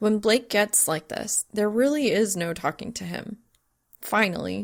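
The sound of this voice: Ordinary pitch variation runs through an unforced reading voice. Nothing stirs in the quiet background.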